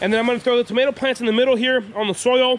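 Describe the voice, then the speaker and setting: Very fast speech comes from a man, recorded with a dry sound with no echo and light background noise. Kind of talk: casual vlog chat. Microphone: phone near.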